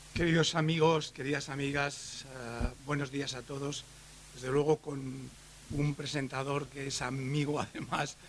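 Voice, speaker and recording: A man speaks at a fairly slow pace in a fairly high pitch. His intonation is monotone and flat, with noticeable background noise behind him. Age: 70s. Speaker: education expert, professor. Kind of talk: conference lecture.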